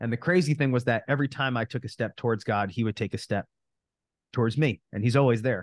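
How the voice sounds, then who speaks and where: A man with an American accent talks at a very fast pace, his voice dry and close with no echo against a quiet background. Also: medium pitch for a man, ordinary pitch variation. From New Jersey. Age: 30s. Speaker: real estate coach. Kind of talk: interview.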